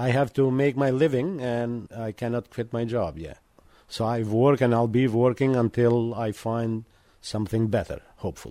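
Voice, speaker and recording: The pace is moderate. A man speaks with a dark, mellow tone. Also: medium pitch for a man, ordinary pitch variation. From Montenegro. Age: 50s. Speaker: janitor and university student. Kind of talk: radio interview. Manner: halting.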